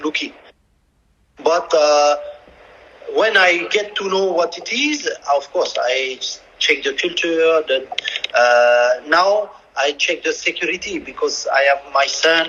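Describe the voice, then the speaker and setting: Speaking very slowly with a French accent, a man leaves long pauses often between his words. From France. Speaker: football coach. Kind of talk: interview. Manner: halting.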